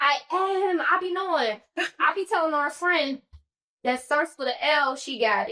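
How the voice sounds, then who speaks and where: A woman's high, bright and sharp voice, loud, with lively intonation and a fairly slow pace. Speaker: podcast host. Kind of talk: casual chat.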